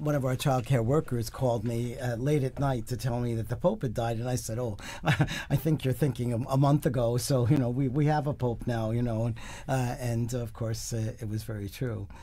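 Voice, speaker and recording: At a fairly quick pace, a man speaks with medium pitch and fairly even intonation. His voice is somewhat breathy, with a dark, mellow tone. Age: 70s. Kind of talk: panel discussion. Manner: halting.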